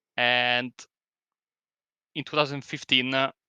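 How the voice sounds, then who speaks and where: In a very clean recording with a silent background and a dry, close sound with no echo, a man with an Italian accent speaks slowly-ish at a fairly slow pace, medium in pitch, with a bright, sharp tone. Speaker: sim racing commentator. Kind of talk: casual chat. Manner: halting.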